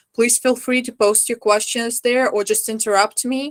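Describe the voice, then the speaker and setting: Speaking at a moderate pace with fairly even intonation, a woman with a non-native accent sounds dry and close with no echo on a very clean recording with a silent background. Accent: foreign. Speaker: historical costume lecturer. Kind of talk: lecture.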